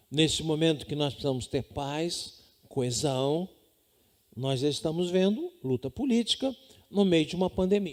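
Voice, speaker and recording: With lively intonation, a man takes a fairly slow pace. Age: 60s. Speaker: pastor. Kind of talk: sermon. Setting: home.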